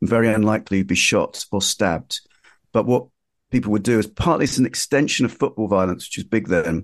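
A man with a London accent talks at a fairly quick pace in a fairly low pitch. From East London (Ilford). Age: 50s. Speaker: magazine editor and journalist. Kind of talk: interview. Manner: halting.

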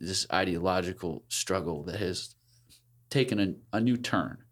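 Fairly low-pitched male speech at a fairly slow pace, in a very clean recording with a silent background. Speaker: podcast co-host. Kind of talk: casual intellectual conversation. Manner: halting.

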